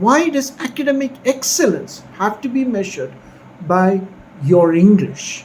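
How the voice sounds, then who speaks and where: A man talks at a high pitch with very wide pitch swings. Noticeable background noise sits behind him. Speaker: academic vlogger. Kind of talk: casual commentary. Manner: whispering.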